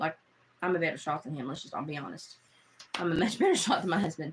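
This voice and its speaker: The speaker has a Southern US accent and an animated tone. The pace is very fast. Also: woman. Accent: Southern twang. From Appalachia. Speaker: live streamer. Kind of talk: casual chat.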